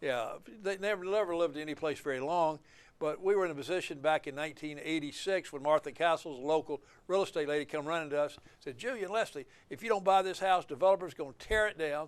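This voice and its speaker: Against a quiet background, a man with an Alabama accent talks at a very fast pace, his fairly high pitch showing ordinary variation. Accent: Southern US (Alabama). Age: 70s. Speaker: attorney and author. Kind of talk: interview. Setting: filmed at a museum. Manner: halting, with fillers.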